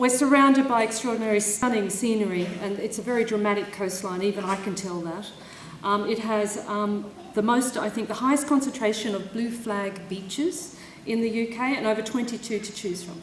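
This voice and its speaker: A woman with an Australian accent and a fairly high pitch speaks at a fairly quick pace, with audible room echo and noticeable background noise. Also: ordinary pitch variation. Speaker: university official presiding over graduation ceremony. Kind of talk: ceremonial speech. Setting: stage with audience at graduation ceremony.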